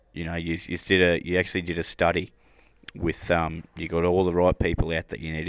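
In an Australian accent, a man talks at a fairly quick pace with a very deep, low pitch and monotone, flat intonation. The recording is very clean, with a silent background. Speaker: podcast host. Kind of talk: casual interview. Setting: at a rodeo event.

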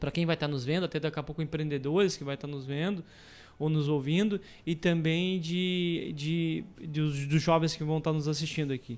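On a very clean recording with a silent background, a man speaks with fairly high pitch and fairly even intonation. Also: fairly quick pace. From Camaquã, Rio Grande do Sul, Brazil. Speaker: entrepreneur. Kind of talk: radio interview. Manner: halting.

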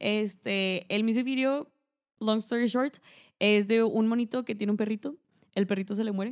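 In a Mexican accent, a woman speaks at a moderate pace with a fairly high pitch and fairly even intonation. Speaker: podcast host. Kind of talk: casual chat.

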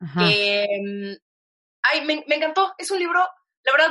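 A woman's intonation is lively as she talks at a fairly slow pace. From Mexico. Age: 30s. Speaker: digital media entrepreneur and author. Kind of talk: interview conversation.

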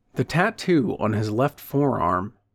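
Recorded very cleanly with a silent background, a man with an unremarkable speaking voice talks at a fairly slow pace in a fairly high pitch with lively intonation. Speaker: audiobook narrator and podcast host. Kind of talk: literary audiobook reading, narrating prose and dialogue.

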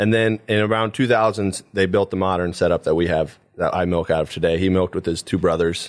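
Fairly even intonation at a fairly quick pace, with a Midwestern American accent. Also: man, very deep, low pitch for a man. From Paulding County, northwest Ohio. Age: 20s. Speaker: dairy farm manager. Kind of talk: interview.

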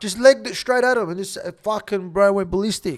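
Lively in intonation, a man with an Australian accent and a high pitch moves at a fairly quick pace. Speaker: former convicted criminal telling his story. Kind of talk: casual storytelling interview. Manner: fast.

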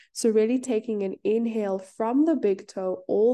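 Fairly high-pitched and dark, mellow in tone, a woman speaks at a moderate pace. Her pitch variation is ordinary, and the background is quiet. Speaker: yoga teacher and podcast host. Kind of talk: guided meditation. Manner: gentle, instructive.

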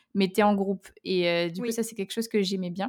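Over a very clean recording with a silent background, a woman with an ordinary speaking voice holds a medium pitch and fairly even intonation. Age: 20s. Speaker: author and software engineer. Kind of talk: casual interview.

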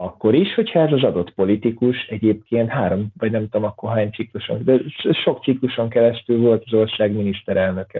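This man's medium-pitched voice carries ordinary pitch variation and moves along at a fairly quick pace. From Hungary, Pécs. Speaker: university lecturer. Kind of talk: casual interview. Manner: halting, many repetitions.

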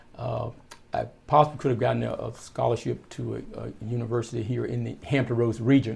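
A man talks at a fairly quick pace, and audible room echo follows his words. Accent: Virginia. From rural southeastern Virginia, US South. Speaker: pastor, Air Force veteran. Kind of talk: casual interview. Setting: in person at his church.

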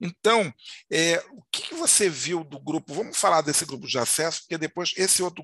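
A man speaks at a moderate pace with ordinary pitch variation, in an ordinary speaking voice. The sound is dry and close with no echo. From Rio de Janeiro, Madureira. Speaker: podcast host. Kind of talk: casual interview chat.

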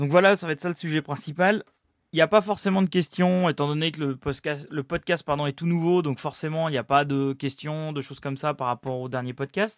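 On a very clean recording with a silent background and a dry, close sound with no echo, a man talks at a fairly high pitch with ordinary pitch variation. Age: 30s. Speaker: building project manager and podcast host. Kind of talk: solo podcast talk. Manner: hesitant, many fillers.

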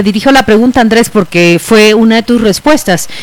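A woman speaks at a fairly high pitch with ordinary pitch variation, and noticeable background noise can be heard. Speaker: radio host. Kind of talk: radio interview.

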